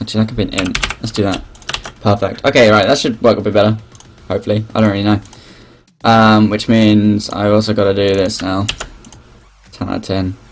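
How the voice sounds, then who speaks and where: Mumbling at a fairly quick pace, the speaker leaves long, frequent pauses amid noticeable background noise. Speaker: game developer streaming live coding. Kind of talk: live coding stream, thinking aloud. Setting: live stream. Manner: halting, self-interrupting.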